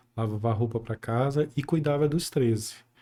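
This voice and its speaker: In a very clean recording with a silent background, a man with a dark, mellow tone speaks fairly slowly at medium pitch with ordinary pitch variation. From Brazil, Belém (Pará). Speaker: accountant and public health inspector. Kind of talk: casual interview.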